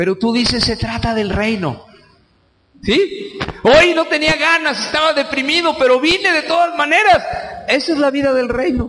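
This man projects a raised voice at an extremely high pitch, moving at a moderate pace with lively intonation and an animated tone. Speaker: preacher. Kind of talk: sermon. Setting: church. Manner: animated, conversational, colloquial; direct, exhorting the congregation.

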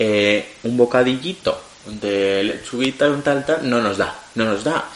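A man speaks at a medium pitch with ordinary pitch variation. Noticeable background noise is present. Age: 20s. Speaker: podcast co-host. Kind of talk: casual chat.

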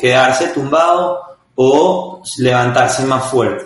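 Fairly high in pitch, a man speaks with a Venezuelan accent in audible room echo. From Venezuela, Caracas. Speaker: startup founder and CEO. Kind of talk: interview.

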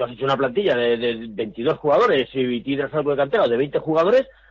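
Speaking at a fairly quick pace, a man uses a plain, everyday voice with lively intonation. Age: 50s. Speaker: football club commentator. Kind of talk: casual chat.

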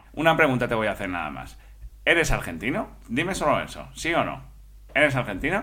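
A man's fairly quick voice with vocal fry, a bright, sharp tone, very wide pitch swings and big swings in loudness. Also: medium pitch for a man. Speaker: comedy podcast co-host. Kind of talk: comedy sketch, parody radio call-in show.

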